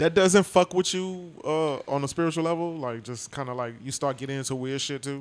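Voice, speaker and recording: The speech moves at a fairly quick pace with hardly any pauses and ordinary pitch variation, on a very clean recording with a silent background. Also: man, fairly high pitch for a man. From Brooklyn, New York. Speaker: podcast host. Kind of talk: casual chat.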